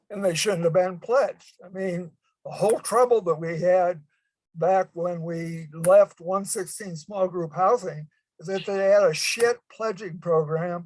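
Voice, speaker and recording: A man speaks fairly slowly in a high pitch, his intonation fairly even. His loudness swings widely. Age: 80s+. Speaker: fraternity alumnus. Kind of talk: online board meeting.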